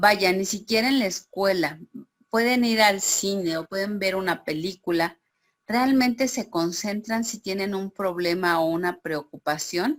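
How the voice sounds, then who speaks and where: At a fairly slow pace, a woman with an ordinary speaking voice talks at a medium pitch with ordinary pitch variation. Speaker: teacher. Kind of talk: online class.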